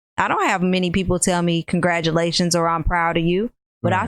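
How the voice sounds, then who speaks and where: The voice comes at a very fast pace, with a dry, close sound and no echo. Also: woman. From US Midwest, Rockford, Illinois. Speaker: entrepreneur. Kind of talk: casual chat.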